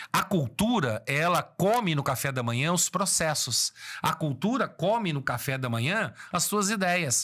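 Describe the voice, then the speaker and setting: In a very clean recording with a silent background, a man speaks in an animated, bright, sharp tone with very wide pitch swings. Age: 60s. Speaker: business consultant. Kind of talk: motivational business talk.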